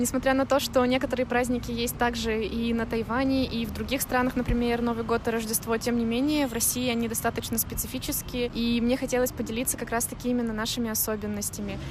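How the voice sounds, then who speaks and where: A woman with a fairly high pitch races at a very fast pace with hardly any pauses and monotone, flat intonation, over noticeable background noise. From Russia, Tomsk. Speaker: exchange student. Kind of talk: interview.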